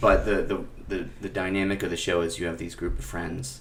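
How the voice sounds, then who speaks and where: With a very deep, low pitch and vocal fry, a man speaks in lively intonation over audible room echo. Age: 20s. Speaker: music director and teacher, podcast guest. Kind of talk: personal testimony in a panel discussion. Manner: halting, with many fillers and repetitions.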